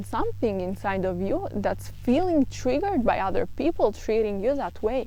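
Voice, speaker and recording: In a non-native accent, a woman speaks at a moderate pace with a dark, mellow tone, vocal fry and lively intonation. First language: not English. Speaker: self-help vlogger. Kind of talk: casual monologue. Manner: halting.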